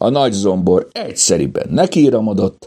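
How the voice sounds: What comes through is a natural reading voice.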